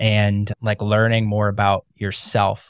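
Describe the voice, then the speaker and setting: In a very clean recording with a silent background, a man with an American accent speaks at a fairly low pitch, the sound dry and close with no echo. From US Midwest, Ohio. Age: 30s. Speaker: podcast host. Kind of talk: casual chat.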